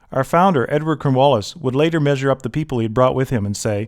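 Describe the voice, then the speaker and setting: Using a normal speaking voice, a man talks at a fairly quick pace. His pitch is fairly high, with ordinary variation. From Halifax, Nova Scotia, Canada. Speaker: historian and tour guide narrator. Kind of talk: documentary travel narration.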